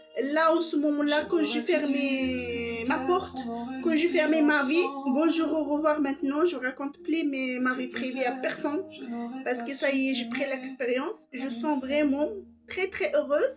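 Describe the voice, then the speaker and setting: There is noticeable background noise as a woman speaks with a non-native accent. Her pitch is high. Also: fairly slow pace. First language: not French (speaking French). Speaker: vlogger. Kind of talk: personal monologue. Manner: soft-spoken; halting.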